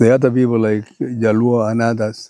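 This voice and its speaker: A man's dark, mellow voice stays flat and monotone. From Kenya, Baringo. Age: 80s+. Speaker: retired chief and former teacher. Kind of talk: life story interview. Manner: halting, with repetitions.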